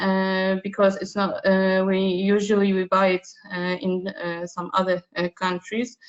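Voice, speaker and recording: A woman speaks with medium pitch at a fairly slow pace. Her intonation is flat and monotone. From Poland. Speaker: pediatrician. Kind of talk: webinar report. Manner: halting, many fillers.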